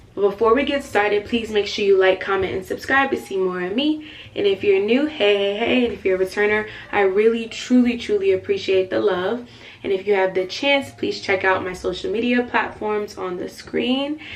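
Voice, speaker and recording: The speaker keeps a moderate pace with ordinary pitch variation. Noticeable background noise runs underneath. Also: woman, medium pitch for a woman. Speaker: faith and lifestyle YouTuber. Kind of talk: vlog-style talk to camera. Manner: loud.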